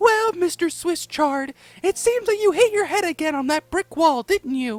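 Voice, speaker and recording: A put-on character voice, squeaky and extremely high-pitched, at a moderate pace. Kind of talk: sweet, patronizing. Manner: fake girly, mocking.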